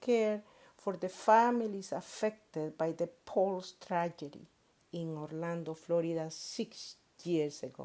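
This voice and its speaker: In a Spanish accent, a woman speaks at a fairly slow pace in a dark, mellow tone, her fairly low pitch showing ordinary variation, on a very clean recording with a silent background. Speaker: pastor. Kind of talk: sermon. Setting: worship service.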